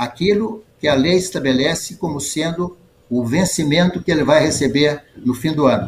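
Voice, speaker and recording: A man's somewhat breathy, fairly high voice at a fairly slow pace, with ordinary pitch variation. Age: 80s+. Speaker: retired judge. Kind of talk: interview. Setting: video call. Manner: halting.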